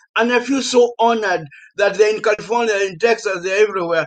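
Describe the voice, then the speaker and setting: A man speaks at a fairly quick pace. He has a Kenyan accent. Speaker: professor. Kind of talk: panel discussion.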